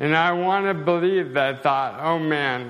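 A man with ordinary pitch variation, plus audible room echo. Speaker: assistant pastor. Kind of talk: sermon. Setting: church. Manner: slow and slurred speech.

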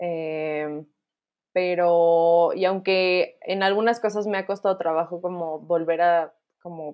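This woman speaks at a very slow pace. Her intonation stays fairly even. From Mexico. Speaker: marketing professional and former au pair. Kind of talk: casual chat.

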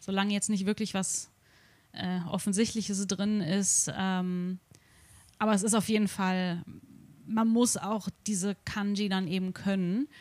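Fairly slow and marked by long, frequent pauses, a woman's voice sits at a medium pitch. Her intonation is monotone and flat. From Germany, Darmstadt near Frankfurt. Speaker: vegan coach. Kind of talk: casual chat.

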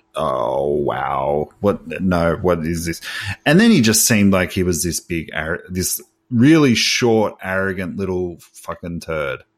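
A man with a very deep, low voice and an Australian accent talks with lively intonation. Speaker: podcast co-host. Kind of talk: casual chat.

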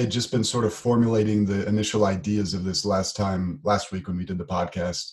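At a moderate pace, a man with an American accent speaks in a somewhat breathy voice at a fairly low pitch. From United States. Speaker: podcast co-host, programmer. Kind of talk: casual chat.

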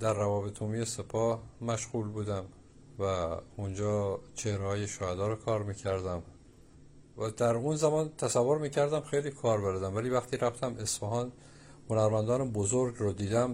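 A man at medium pitch and moderate pace, dark and mellow in tone, with ordinary pitch variation and a quiet background. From Iran, Abadan (Khuzestan). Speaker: painter and sculptor. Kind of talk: interview. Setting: at home in his studio.

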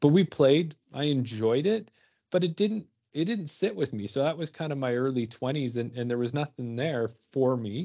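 A man talks at a moderate pace with a Canadian accent. His voice is fairly high and is an unremarkable speaking voice. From Ontario and Alberta, Canada. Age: 40s. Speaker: podcast co-host, amateur disc golfer. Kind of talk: casual chat.

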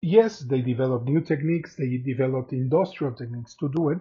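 Somewhat breathy and fairly high-pitched, a man speaks with a Spanish accent and ordinary pitch variation. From Mexico. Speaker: podcast host, artist and art lecturer. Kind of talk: solo art history talk. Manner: hesitant, many fillers.

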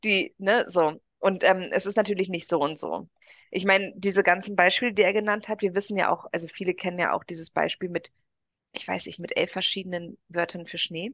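A woman at a medium pitch and a fairly quick pace, with fairly even intonation, a quiet background and a dry, close sound with no echo. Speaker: podcast co-host. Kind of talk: casual chat.

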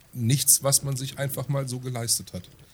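A man's somewhat breathy voice. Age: 30s. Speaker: podcast co-host. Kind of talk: casual chat.

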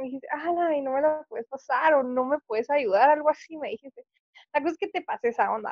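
A woman's high-pitched voice with lively intonation at a fairly quick pace. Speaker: university student, friend of host. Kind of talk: casual chat.

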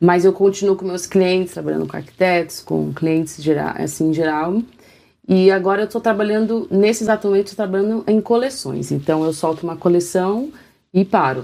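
A woman talks at a fairly quick pace with a dark, mellow tone, medium pitch and ordinary pitch variation. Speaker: worship leader and artist. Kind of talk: interview testimony.

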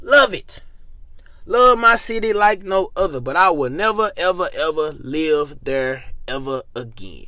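In a raised, projected voice with a bright, sharp, animated tone, the speaker goes at a fairly slow pace with very wide pitch swings. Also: man, high pitch for a man. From Memphis, Tennessee, US South. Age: 20s. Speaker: podcast host. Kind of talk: casual solo monologue.

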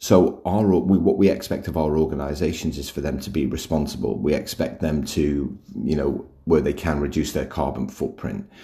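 Dark, mellow tone with vocal fry and hardly any pauses. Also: man, very deep, low pitch for a man, ordinary pitch variation, moderate pace. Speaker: podcast host, workplace culture author. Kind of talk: solo podcast talk. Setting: recording at home. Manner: casual, with fillers and restarts.

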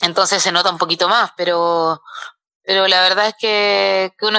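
Her tone bright and sharp, a woman speaks at a moderate pace with monotone, flat intonation, and the sound is dry and close with no echo. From southern Chile, Valdivia. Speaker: professional boxer. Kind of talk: interview. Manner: halting.

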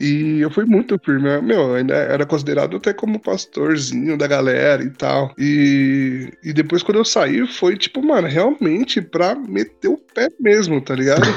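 The voice moves at a fairly slow pace with very wide pitch swings over noticeable background noise. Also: man, fairly high pitch for a man, hardly any pauses. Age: 20s. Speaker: church community member. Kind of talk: casual chat. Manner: halting.

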